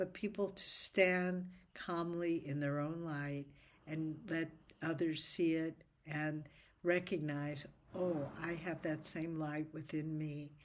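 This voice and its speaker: On a very clean recording with a silent background, a woman with a fairly low pitch speaks at a very slow pace with fairly even intonation. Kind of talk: casual chat; reading aloud. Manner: halting.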